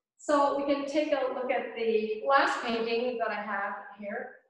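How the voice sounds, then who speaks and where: A fairly slow, high-pitched woman's voice with audible room echo and a quiet background. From Gaspé Peninsula, Quebec; Quebec. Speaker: painter. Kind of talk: casual interview. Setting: community centre cafe.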